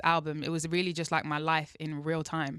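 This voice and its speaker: A London accent at a moderate pace, bright and sharp in tone, with a dry, close sound and no echo. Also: woman, very clean recording, silent background. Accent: British (London). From England. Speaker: R&B singer. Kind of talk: interview answer.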